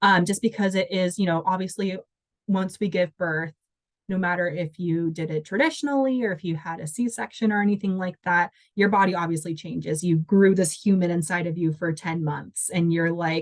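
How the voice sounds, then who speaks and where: A woman's fairly low voice in an American accent, moderate in pace with ordinary pitch variation, an unremarkable speaking voice. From Washington state. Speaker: dancer and volunteer coordinator. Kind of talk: interview answer.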